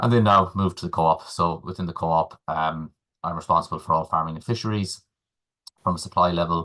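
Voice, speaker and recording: A man's very deep, low voice with a bright, sharp tone and an Irish accent, very fast and fairly even in intonation, over a quiet background. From Ireland, Galway. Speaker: supermarket agriculture manager. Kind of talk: webinar presentation. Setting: webinar.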